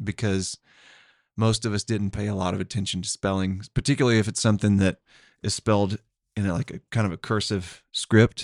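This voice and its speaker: With an Oklahoma accent, a man talks at a fairly quick pace and a fairly low pitch, with fairly even intonation. The recording is very clean and dry, close with no echo, over a silent background. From Tulsa, Oklahoma. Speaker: podcast co-host. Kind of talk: casual chat.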